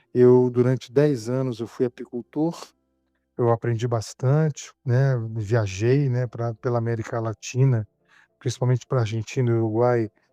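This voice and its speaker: A man at a moderate pace, flat and monotone, with a dry, close sound with no echo and music in the background. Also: medium pitch for a man. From Brazil, Rio de Janeiro and interior. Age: 60s. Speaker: beekeeper and business founder. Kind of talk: podcast interview. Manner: halting, many repetitions and fillers.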